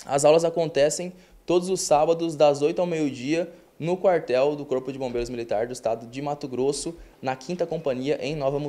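Dark, mellow tones from a male speaker, his intonation fairly even. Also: moderate pace. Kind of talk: interview answer. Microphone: handheld.

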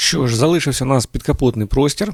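Recorded very cleanly with a silent background and a dry, close sound with no echo, a man has an unremarkable speaking voice at a medium pitch with lively intonation. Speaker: tractor reviewer. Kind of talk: product review video. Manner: informal, conversational.

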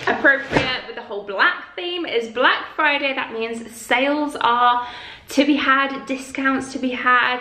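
A raised, projected voice moves at a fairly slow pace with big swings in loudness and ordinary pitch variation. Audible room echo and light background noise surround it. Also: woman. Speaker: lifestyle vlogger. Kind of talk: sponsor read in casual vlog chat. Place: home room.

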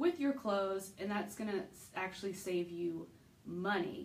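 Her speech moves along fairly slowly. The woman's pitch rises and falls in a lively way. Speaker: style vlogger. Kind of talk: casual vlog chat. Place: home room. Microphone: phone near.

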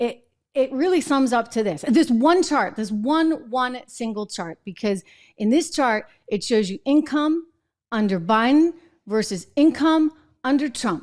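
Against a quiet background, a woman with a high pitch speaks at a fairly slow pace with lively intonation. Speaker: show host. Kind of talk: political commentary. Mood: indignant, sarcastic. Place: studio. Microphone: studio mic.

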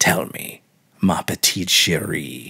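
Putting on a character voice, a man speaks slowly at a low pitch with ordinary pitch variation, his tone bright and sharp with a husky, rough edge and vocal fry.

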